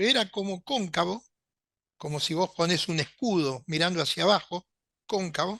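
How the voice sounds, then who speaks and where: In an Argentine accent, the voice has a bright, sharp tone and lively intonation at a fairly slow pace. The background is quiet. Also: man. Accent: Rioplatense Argentine Spanish. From Argentina, Buenos Aires. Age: 70s. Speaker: UFO contactee and writer. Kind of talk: interview storytelling.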